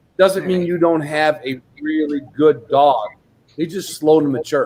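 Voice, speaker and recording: A man speaks in a normal speaking voice, fairly high in pitch, at a fairly slow pace with fairly even intonation. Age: 60s. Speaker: dog trainer. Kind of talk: casual chat.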